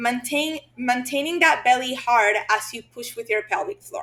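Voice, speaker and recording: A woman speaks with a Spanish accent in a high, bright, sharp voice, raised and projected. Her intonation is lively and her pace fairly slow. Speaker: physical therapist. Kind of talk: podcast interview.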